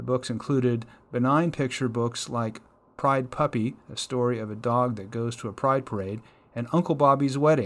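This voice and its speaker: In an ordinary speaking voice, a man talks at a moderate pace and medium pitch with ordinary pitch variation. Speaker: news reader. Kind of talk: news reading. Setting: radio studio.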